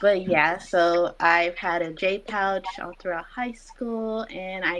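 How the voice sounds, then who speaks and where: A woman with a normal speaking voice talks at a fairly slow pace and fairly low pitch, keeping her intonation fairly even. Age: 20s. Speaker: IBD patient sharing her story. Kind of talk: patient interview.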